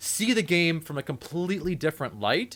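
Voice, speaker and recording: A man mumbles with lively intonation at a fairly high pitch and moderate pace, in a very clean recording with a silent background. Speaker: podcast host. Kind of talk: casual podcast chat. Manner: mumbling; rambling, halting.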